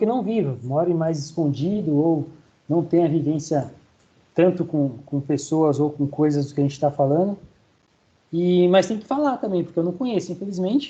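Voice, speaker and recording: A high-pitched male voice, dark and mellow in tone, with ordinary pitch variation. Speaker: university lecturer. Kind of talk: online lecture. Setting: online class. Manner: fast.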